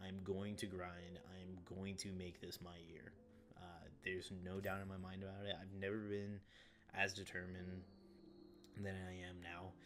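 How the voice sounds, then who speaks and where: A man speaks with a very deep, low pitch. Audible room echo and background music surround him. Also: moderate pace. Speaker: gaming YouTuber and streamer. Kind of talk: gameplay commentary. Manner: subdued, not enthusiastic; halting, many repeats.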